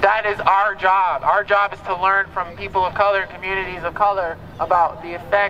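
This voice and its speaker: A raised, projected voice with an American accent moves at a fairly quick pace. Light background noise sits behind it. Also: man. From US. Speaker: rally speaker. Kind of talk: rally speech. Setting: outdoors protest. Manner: animated, emphatic, urgent; repetitive, rhetorical questions to crowd. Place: street.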